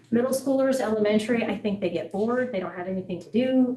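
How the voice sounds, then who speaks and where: A woman talks at a very fast pace. Her voice is fairly high-pitched. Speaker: school transportation manager. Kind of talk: board meeting presentation.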